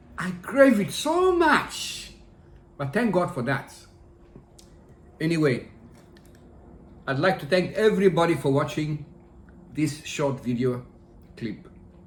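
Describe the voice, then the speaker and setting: With audible room echo, a man speaks at a fairly slow pace in a high voice. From Ghana, Accra. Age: 60s. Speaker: food vlogger. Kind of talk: casual vlog talk to camera.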